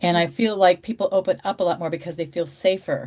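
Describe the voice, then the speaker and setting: An unremarkable speaking voice with ordinary pitch variation, on a very clean recording with a silent background. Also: woman. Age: 60s. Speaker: reseller. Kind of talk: casual chat.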